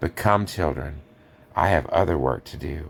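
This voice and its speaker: A man's very deep, low voice comes through in a put-on character voice, moving along at a moderate pace. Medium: read story. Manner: grave, gentle, authoritative.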